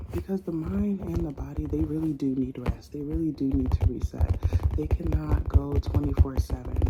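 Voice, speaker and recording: Against noticeable background noise, a soft-spoken woman with a very deep, low voice talks at a moderate pace with very wide pitch swings. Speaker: ASMR creator. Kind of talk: ASMR soft spoken ramble. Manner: soft-spoken, calming.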